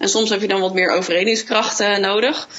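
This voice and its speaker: A woman's medium-pitched speech comes through noticeable background noise. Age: 30s. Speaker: hotel sales manager. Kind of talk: interview. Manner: hesitant, many fillers and repetitions.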